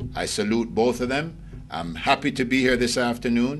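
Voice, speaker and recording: Audible room echo carries a man's fairly low voice as he speaks at a moderate pace. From Jamaica. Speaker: lecturer. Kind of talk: lecture. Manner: animated.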